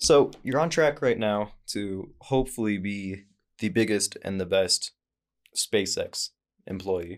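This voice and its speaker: Over a very clean recording with a silent background, a man with an American accent speaks at a very slow pace with a fairly low pitch and ordinary pitch variation. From Idaho. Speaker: podcast host. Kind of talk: casual chat.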